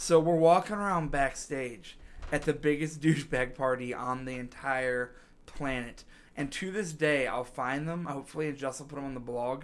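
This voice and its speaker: A man speaks in a normal speaking voice, fairly high-pitched, at a moderate pace. His pitch varies in an ordinary way while his loudness swings a lot. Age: 30s. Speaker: podcast host, musician. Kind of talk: casual chat.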